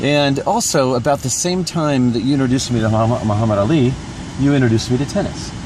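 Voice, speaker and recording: In a room with audible echo and noticeable background noise, a man speaks at a very fast pace with very even loudness, medium pitch and ordinary pitch variation. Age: 50s. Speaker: vlogger. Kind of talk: casual chat.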